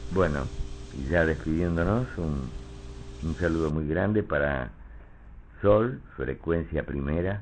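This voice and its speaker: A man speaks at a very slow pace with a very deep, low pitch and lively intonation. Long pauses come often. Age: 70s. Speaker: stage and voice actor. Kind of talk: interview.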